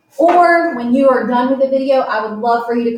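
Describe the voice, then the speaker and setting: A woman talks at a moderate pace with a fairly high pitch. Audible room echo surrounds her voice. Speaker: math teacher. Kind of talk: tutorial. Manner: animated.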